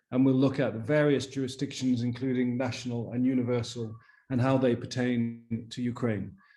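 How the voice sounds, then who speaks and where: Delivered at a moderate pace in a monotone, flat intonation, the voice has a dark, mellow tone, and audible room echo surrounds it. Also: man, medium pitch for a man. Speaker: conference organizer. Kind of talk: conference opening remarks. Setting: video conference.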